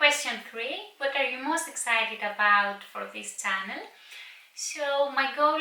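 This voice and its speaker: A woman's raised, projected voice with high pitch and ordinary pitch variation, amid noticeable background noise and audible room echo. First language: Greek. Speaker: book vlogger. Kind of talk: casual vlog talk to camera. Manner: some hesitations and filler words.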